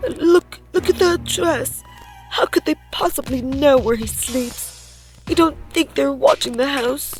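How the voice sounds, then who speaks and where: A woman speaks in a high-pitched, put-on character voice that sounds shaky, at a fairly slow pace. The sound is dry and close with no echo, and clear music plays in the background. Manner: frightened, worried.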